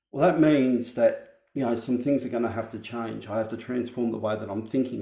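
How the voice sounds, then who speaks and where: Speaking at a moderate pace, a man uses medium pitch, vocal fry, a dark, mellow tone and fairly even intonation. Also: hardly any pauses. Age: 40s. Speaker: vlogger. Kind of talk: personal vlog monologue.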